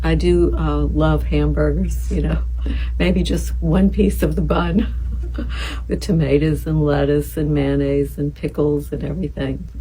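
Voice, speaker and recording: A soft-spoken woman with a very deep, low pitch speaks in a calm tone at a fairly slow pace, her intonation fairly even against noticeable background noise. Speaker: boutique shop owner. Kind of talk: casual talk about fashion and daily routine. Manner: soft-spoken, calm.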